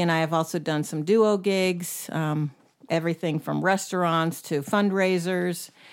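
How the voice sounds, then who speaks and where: With an American accent and a normal speaking voice, a woman talks fairly slowly at a fairly low pitch with fairly even intonation in a very clean recording with a silent background. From US South, North Carolina (and Syracuse, New York). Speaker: singer and bass player, band leader. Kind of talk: casual interview.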